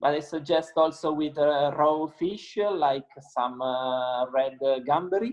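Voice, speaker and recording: A man with an Italian accent at a fairly high pitch, a fairly slow pace and ordinary pitch variation. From Italy, Piedmont (Langhe). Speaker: winemaker. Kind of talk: interview. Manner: halting, many fillers.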